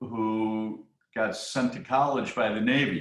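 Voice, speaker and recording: Delivery is very slow, in a Midwestern American accent. Intonation stays fairly even. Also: man. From US Midwest. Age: 60s. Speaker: retired businessman, sailing supporter. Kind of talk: casual interview. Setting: video call. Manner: hesitant, with repeated fillers.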